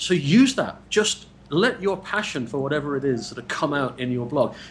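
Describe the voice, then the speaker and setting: A man speaks with an English accent at a moderate pace, his intonation lively. Noticeable background noise runs behind him. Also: fairly high pitch for a man. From England. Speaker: blogger and interviewer. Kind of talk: casual interview. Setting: Skype call. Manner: repeats words, stammering starts.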